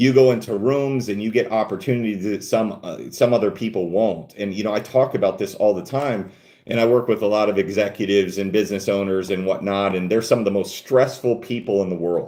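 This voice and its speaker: With a dark, mellow tone and ordinary pitch variation, a man talks at a fairly quick pace. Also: fairly low pitch for a man. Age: 40s. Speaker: fitness coach and bodybuilder. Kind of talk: live stream Q&A. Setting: livestream at desktop. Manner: casual, filler-heavy.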